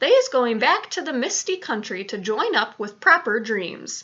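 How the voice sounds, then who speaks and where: A woman does a put-on character voice at a high pitch. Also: moderate pace. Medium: read story. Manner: ungrammatical, quirky invented words.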